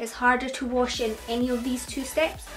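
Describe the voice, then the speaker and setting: Over music in the background, a woman with a Scottish accent speaks slowly-ish at a high pitch, her pace fairly slow. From Scotland. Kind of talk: beauty tutorial talk to camera. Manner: casual.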